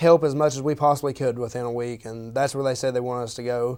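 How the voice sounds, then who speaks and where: Here a man talks at a very fast pace in an Appalachian accent. His intonation is monotone and flat. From Eastern Kentucky. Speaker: university student. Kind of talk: interview. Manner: halting.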